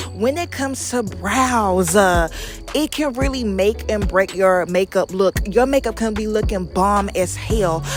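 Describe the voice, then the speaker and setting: With music in the background, a woman talks in an animated tone at a fairly slow pace. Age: 20s. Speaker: makeup artist. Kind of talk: tutorial. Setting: voiceover.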